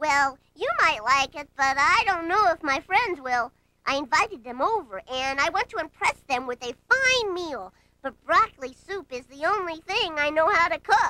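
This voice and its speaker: The speaker uses a put-on character voice. The pitch is high. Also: moderate pace. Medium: read story. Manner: earnest, eager to please.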